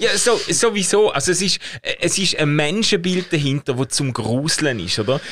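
Here a man with an unremarkable speaking voice talks at a moderate pace. His pitch is fairly high and his intonation lively. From Schaffhausen, eastern Switzerland. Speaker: podcast co-host. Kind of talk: casual chat.

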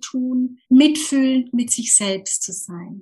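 The woman speaking has a high pitch. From Germany, Lower Franconia. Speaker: communication trainer. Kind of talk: interview.

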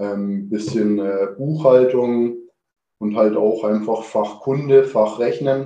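Audible room echo surrounds a man with a dark, mellow tone. His pitch is medium and his pace very slow. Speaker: chef. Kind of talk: interview. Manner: hesitant, many filler words.

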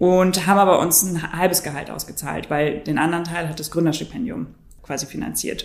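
A woman talks at a moderate pace with a fairly low pitch. Hers is a normal speaking voice. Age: 20s. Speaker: startup founder. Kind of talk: interview.

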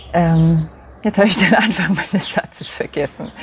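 A woman speaks at a fairly low pitch. Noticeable background noise runs underneath. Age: 40s. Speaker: podcast host and coach for mothers. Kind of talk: solo podcast monologue with brief guided mindfulness.

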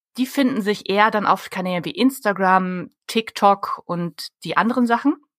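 With a dry, close sound and no echo, a woman uses an ordinary speaking voice with ordinary pitch variation. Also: medium pitch for a woman, moderate pace. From Germany. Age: 30s. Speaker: public relations consultant. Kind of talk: interview.

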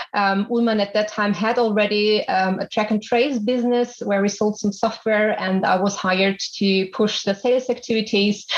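A woman's fairly high voice at a moderate pace, monotone and flat, very even in loudness, with hardly any pauses and noticeable background noise. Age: 30s. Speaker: business executive. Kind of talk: interview.

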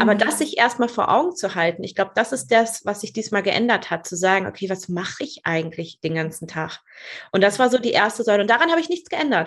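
A woman's medium-pitched voice at a very fast pace, with very wide pitch swings. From northern Germany, rural Lower Saxony. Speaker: business mentor. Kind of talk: podcast interview.

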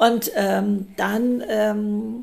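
There is noticeable background noise while a woman talks. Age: 70s. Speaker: speaker and model. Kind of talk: casual chat.

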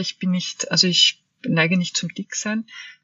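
A woman with an ordinary speaking voice talks at a fairly slow pace and a medium pitch. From Austria, Vienna. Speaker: author and body therapist. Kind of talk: interview.

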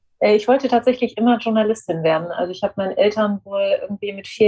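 A woman's fairly high voice, very fast, with fairly even intonation. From Germany, near Frankfurt. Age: 40s. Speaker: media executive and former journalist. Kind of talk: interview. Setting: home office.

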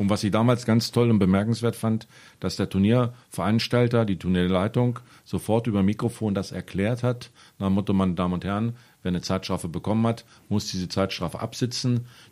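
Fairly low in pitch, a man speaks with a dark, mellow tone and fairly even intonation at a fairly quick pace. The recording is very clean, with a silent background. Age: 40s. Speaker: football referee and official. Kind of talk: casual chat.

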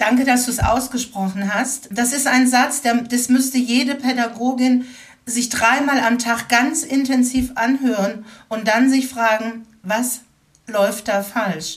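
A woman's high-pitched voice, fairly even in intonation, at a very slow pace. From Baden-Württemberg (Baden-Baden). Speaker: educator and anti-racism trainer. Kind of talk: interview. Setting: remote recording.

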